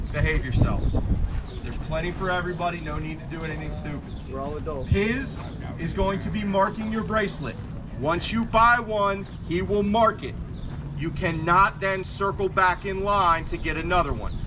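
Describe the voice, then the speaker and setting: Noticeable background noise accompanies speech at a moderate pace. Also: man. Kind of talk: announcement to crowd. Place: street. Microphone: camera far.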